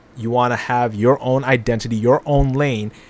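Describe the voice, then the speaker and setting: An ordinary speaking voice, this man's sits at medium pitch, with fairly even intonation and a moderate pace. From Canada, Toronto. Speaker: music reaction youtuber. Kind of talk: casual reaction commentary.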